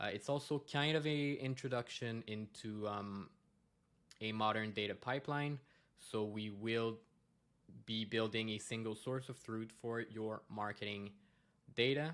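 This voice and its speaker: The intonation stays fairly even. Long pauses come often. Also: man, medium pitch for a man. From Quebec, Montreal. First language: French. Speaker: data consultant. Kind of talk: conference presentation. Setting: conference talk. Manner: hesitant, many fillers.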